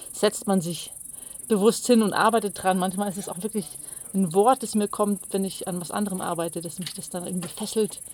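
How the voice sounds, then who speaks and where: At a moderate pace, a woman with medium pitch talks in an unremarkable speaking voice. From Bavaria, Pullach near Munich. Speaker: cabaret artist and poet. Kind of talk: interview. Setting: mountain pasture.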